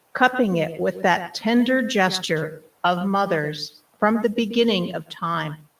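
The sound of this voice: Lively intonation in an unforced reading voice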